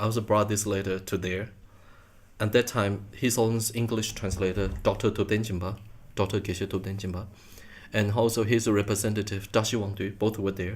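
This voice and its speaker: A man with a Chinese accent talks at a fairly quick pace, his fairly low, somewhat breathy voice held in monotone, flat intonation. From Taiwan. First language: Mandarin Chinese. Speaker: Buddhist monk and translator. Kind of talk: interview. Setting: at home. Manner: halting.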